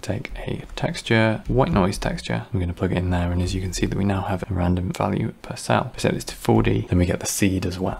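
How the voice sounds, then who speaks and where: A man speaks over noticeable background noise. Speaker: 3D graphics tutorial creator. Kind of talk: software tutorial narration.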